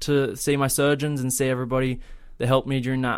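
The man speaks in an Australian accent. His pace is very fast. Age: 20s. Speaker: travel vlogger. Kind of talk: casual chat.

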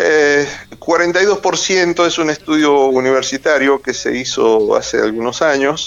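The speech moves at a very slow pace, with very even loudness and ordinary pitch variation. Noticeable background noise runs underneath. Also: man, fairly high pitch for a man. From Argentina, Mendoza. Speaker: journalist and author. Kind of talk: interview. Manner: hesitant, many fillers.

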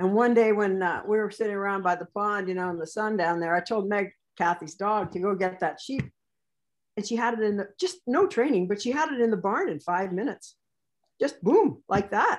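A woman with a Canadian accent has an unremarkable speaking voice at a medium pitch. She talks at a fairly quick pace. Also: ordinary pitch variation. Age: 60s. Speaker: sheepdog handler and trainer. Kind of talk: interview.

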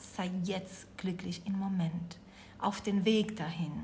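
A woman's somewhat breathy, medium-pitched voice with a Spanish accent, very slow and fairly even in intonation, with audible room echo. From Uruguay. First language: Spanish (speaking German). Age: 40s. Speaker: yoga teacher and resilience trainer. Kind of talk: interview.

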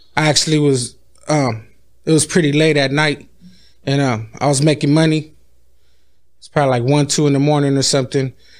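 A man with an American accent, fairly quick yet with long, frequent pauses, monotone and flat in intonation, very even in loudness. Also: fairly high pitch for a man. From San Diego, California. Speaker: rapper. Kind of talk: casual chat.

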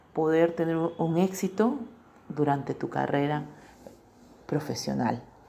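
The woman's voice has a dark, mellow tone. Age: 40s. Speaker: corrosion engineer. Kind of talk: testimony. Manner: measured, with frequent hesitations.

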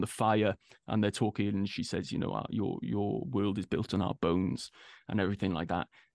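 Recorded dry and close with no echo over a quiet background, a man with a fairly low pitch speaks at a moderate pace. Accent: Welsh. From Wales. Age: 30s. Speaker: actor. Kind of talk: casual interview.

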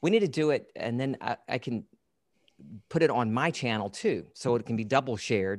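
At a moderate pace, a man speaks with an American accent and medium pitch. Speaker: podcast host. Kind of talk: interview conversation. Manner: engaging storyteller cadence.

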